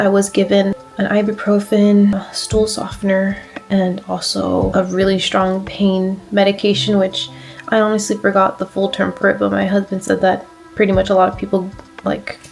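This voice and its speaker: A woman's medium-pitched voice at a moderate pace, monotone and flat in intonation, with music in the background. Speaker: vlogger sharing surgery recovery. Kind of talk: casual vlog. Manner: hesitant, many fillers.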